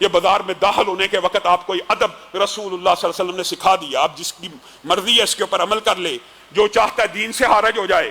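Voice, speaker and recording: A raised, projected voice comes through over noticeable background noise. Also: man, high pitch for a man, ordinary pitch variation. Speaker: Islamic preacher giving a Friday sermon. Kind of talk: Friday sermon (khutba) delivered in Urdu.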